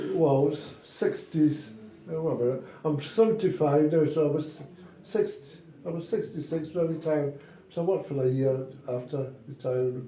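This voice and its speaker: A man with a Glaswegian accent speaks at a fairly high pitch with ordinary pitch variation, over noticeable background noise and audible room echo. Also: moderate pace. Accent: Glaswegian Scottish. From Scotland, Glasgow. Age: 70s. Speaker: retired walking football player. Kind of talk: casual chat. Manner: halting.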